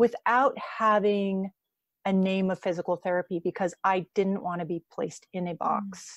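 This woman has a normal speaking voice at a medium pitch and talks fairly slowly. The sound is dry and close with no echo, and the background is quiet. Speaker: physical therapist. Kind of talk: casual interview.

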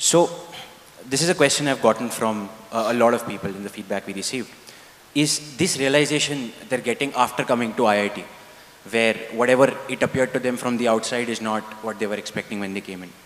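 Fairly quick speech from a man at a medium pitch, with ordinary pitch variation. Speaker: student moderator. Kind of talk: moderated Q&A. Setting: stage with audience. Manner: halting. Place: stage. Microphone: handheld.

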